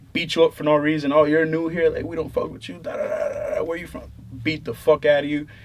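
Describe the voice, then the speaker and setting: Amid noticeable background noise, a man talks at a very fast pace with big swings in loudness. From Puerto Rico, then New Hampshire (Manchester). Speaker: musician. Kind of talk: casual interview.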